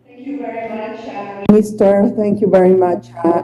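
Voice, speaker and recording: Over music in the background, a woman with a Spanish accent talks at a fairly slow pace. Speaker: international agency leader. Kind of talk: formal address. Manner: hesitant, many fillers.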